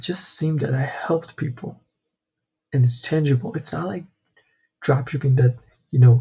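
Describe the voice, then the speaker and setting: Pausing long and often, a man speaks with a fairly high pitch, a somewhat breathy voice and ordinary pitch variation. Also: moderate pace. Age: 20s. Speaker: vlogger, entrepreneur. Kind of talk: personal vlog monologue.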